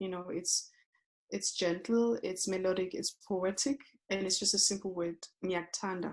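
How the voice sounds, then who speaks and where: With a Zulu accent, a woman speaks at a moderate pace and medium pitch with fairly even intonation. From South Africa, township. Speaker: yoga teacher. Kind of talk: interview. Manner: halting.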